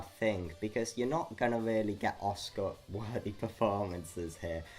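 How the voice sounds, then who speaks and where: Music plays in the background as a man speaks at a fairly slow pace. His fairly low pitch shows ordinary variation. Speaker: movie reviewer. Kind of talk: casual review talk to camera. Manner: some stuttering.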